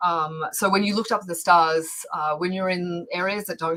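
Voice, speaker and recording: Noticeable background noise accompanies this recording. A woman speaks with an Australian accent at a fairly low pitch. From Australia, Victoria (Bendigo). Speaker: planetary scientist and educator. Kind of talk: casual interview. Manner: animated, many fillers.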